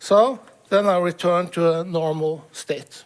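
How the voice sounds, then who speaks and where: He speaks at a high pitch with ordinary pitch variation. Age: 60s. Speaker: professor sharing patient experience. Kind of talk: testimony. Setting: stage with audience. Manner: reading from a manuscript; halting, many fillers.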